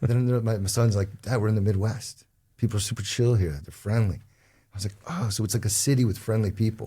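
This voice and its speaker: A man speaks very fast in a New Jersey accent, his pitch fairly low. His tone is dark and mellow, and somewhat breathy. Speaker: real estate advisor. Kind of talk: casual interview chat. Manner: animated.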